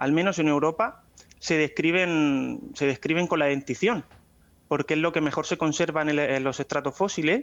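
At a moderate pace, a man talks in an ordinary speaking voice that sits fairly high in pitch. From Spain, Murcia (Águilas). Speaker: paleontologist. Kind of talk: interview.

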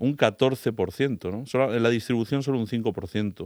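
A normal speaking voice from a man at medium pitch moves at a fairly slow pace with ordinary pitch variation, in a very clean recording with a silent background. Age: 50s. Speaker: climate change radio contributor. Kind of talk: casual radio interview.

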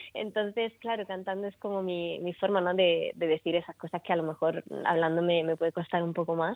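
Pitched fairly low, a woman with a slight Murcian accent speaks at a fairly quick pace. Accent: slight Murcian Spanish creeping in. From Italy. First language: Italian (speaking Spanish). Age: 20s. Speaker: singer-songwriter. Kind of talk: radio interview.

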